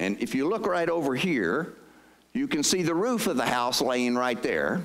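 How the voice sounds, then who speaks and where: This man speaks with a Southern US accent in a fairly high pitch, using very wide pitch swings, vocal fry, and very even loudness. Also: moderate pace. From southeast North Carolina. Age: 60s. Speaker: state pension agency head. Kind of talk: presentation to audience. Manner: conversational.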